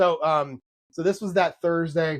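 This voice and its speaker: The recording has a dry, close sound with no echo. A man with a high pitch speaks with ordinary pitch variation. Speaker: podcast host and novelist. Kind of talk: casual chat. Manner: fast; halting.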